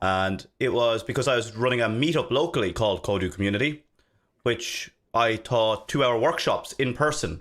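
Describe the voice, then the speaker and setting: With an Irish accent, a man speaks at a fairly quick pace and with ordinary pitch variation, on a very clean recording with a silent background. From Ireland, Dublin. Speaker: software developer and consultant. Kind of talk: casual interview chat.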